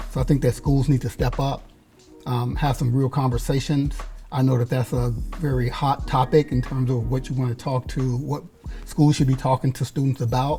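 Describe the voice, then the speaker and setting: Music plays behind a man with a medium pitch. He talks at a moderate pace in a monotone, flat intonation. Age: 60s. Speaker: community youth services worker. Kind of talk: panel discussion. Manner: halting, repeats words.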